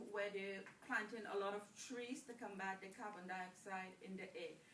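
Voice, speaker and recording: In a room with audible echo, a woman speaks fairly slowly with fairly even intonation. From Trinidad and Tobago. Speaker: toastmasters club speaker. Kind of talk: Q&A after a speech. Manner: hesitant, with fillers and restarts.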